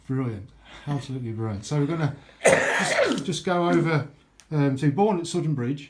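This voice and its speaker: With lively intonation and a fairly high pitch, a man talks at a moderate pace against noticeable background noise. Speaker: interviewer.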